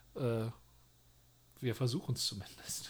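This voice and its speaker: With a dark, mellow tone, a man speaks at a moderate pace and with fairly even intonation on a very clean recording with a silent background. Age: 30s. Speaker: podcast co-host, youth leader. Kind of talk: casual chat.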